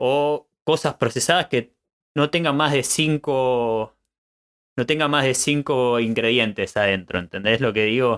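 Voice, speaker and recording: A man at a medium pitch with an Argentine accent, ordinary pitch variation, very even loudness and a fairly slow pace. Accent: Argentine Spanish (Rioplatense). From Argentina. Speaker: podcast host. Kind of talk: casual chat. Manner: halting.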